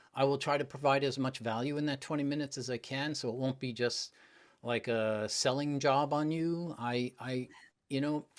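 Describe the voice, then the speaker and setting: At a moderate pace, a man with a fairly high pitch uses a normal speaking voice with fairly even intonation on a very clean recording with a silent background. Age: 60s. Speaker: public speaking coach. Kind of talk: interview.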